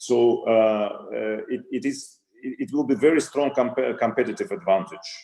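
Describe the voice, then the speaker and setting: With a Russian accent and a dark, mellow tone, the speaker talks at a moderate pace with lively intonation. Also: man, medium pitch for a man. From Russia, Saint Petersburg. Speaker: retail company CEO. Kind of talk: interview. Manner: halting, many fillers and repetitions.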